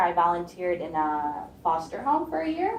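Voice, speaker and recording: A woman with an American accent, medium pitch, lively intonation, and a moderate pace, amid audible room echo. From US Midwest, Chicago. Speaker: student, Israeli army reservist panelist. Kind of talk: personal story on a panel. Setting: campus event with audience.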